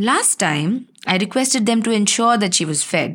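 A woman speaks with a plain, everyday voice. Her intonation is lively and her pace moderate. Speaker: writer reading her own chapter. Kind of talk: literary audiobook reading, first-person memoir with dialogue.

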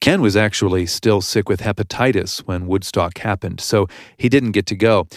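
An ordinary speaking voice from a man, fairly low in pitch, at a moderate pace. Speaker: podcast host. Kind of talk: scripted narration and interview.

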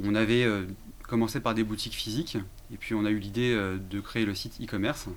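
A man with a fairly low pitch speaks at a moderate pace and with fairly even intonation. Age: 30s. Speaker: entrepreneur, real estate firm co-founder. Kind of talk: interview. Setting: studio. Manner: hesitant, frequent 'euh'.

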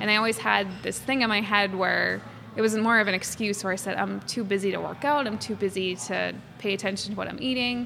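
Over noticeable background noise, a woman with an American accent talks fairly quickly at a medium pitch, using ordinary pitch variation. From Massachusetts (Quincy, near Boston). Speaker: fashion illustrator. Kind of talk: interview conversation.

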